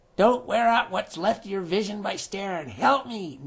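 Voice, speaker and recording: The voice is a put-on character one with a fairly high pitch. Its pace is moderate. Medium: read story. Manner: blunt, barking.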